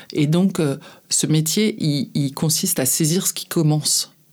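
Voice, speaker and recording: A woman speaks in a very deep, low voice on a very clean recording with a silent background. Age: 50s. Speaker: advertising agency head. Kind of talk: interview. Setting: studio. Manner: halting.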